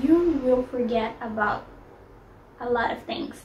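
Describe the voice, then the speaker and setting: A high-pitched woman at a fairly slow pace, with ordinary pitch variation and noticeable background noise. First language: not English. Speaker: lifestyle vlogger. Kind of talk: casual advice vlog. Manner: hesitant, with fillers.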